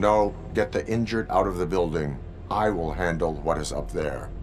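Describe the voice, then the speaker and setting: A man's put-on character voice, pitched very deep and low, over loud background noise. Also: moderate pace. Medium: video game. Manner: terse, flat.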